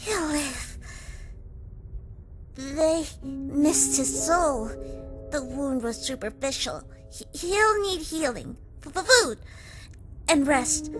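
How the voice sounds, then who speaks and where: A cartoonish character voice speaks with a high pitch at a very slow pace. Background noise is clearly heard. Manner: stuttering, hesitant.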